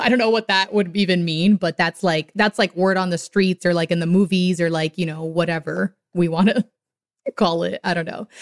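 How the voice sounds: A woman's fairly low voice at a moderate pace, dry and close with no echo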